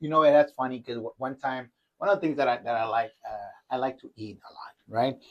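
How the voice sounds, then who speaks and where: A man with a Spanish accent, medium pitch, a fairly quick pace and big swings in loudness. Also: ordinary pitch variation. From northern Mexico (Matamoros, Tamaulipas). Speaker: university faculty member. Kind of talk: casual chat. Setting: kitchen.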